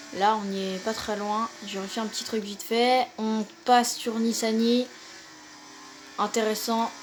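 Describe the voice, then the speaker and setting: Over music in the background, a woman with a fairly high pitch and fairly even intonation speaks at a very slow pace, with long, frequent pauses. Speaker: gaming youtuber. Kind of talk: gameplay commentary. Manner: hesitant with fillers.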